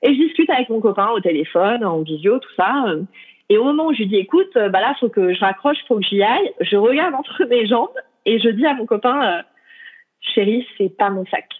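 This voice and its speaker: Her voice sits fairly high. The woman talks at a fairly quick pace. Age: 30s. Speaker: traveller. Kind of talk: interview. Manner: hesitant, many fillers.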